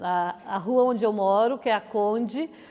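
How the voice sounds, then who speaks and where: A woman speaks with a southern Brazilian accent. Her pitch varies in an ordinary way. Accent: Rio Grande do Sul (gaúcho) Portuguese. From southern Brazil, Cachoeira do Sul. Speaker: neighborhood resident. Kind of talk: interview testimony.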